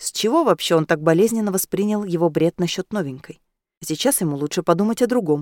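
Quiet surroundings and plain reading aloud

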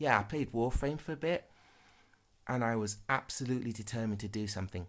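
Over a silent background in a very clean recording, a man speaks with a fairly low pitch. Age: 30s. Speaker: podcast host. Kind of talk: casual monologue. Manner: halting, many fillers.

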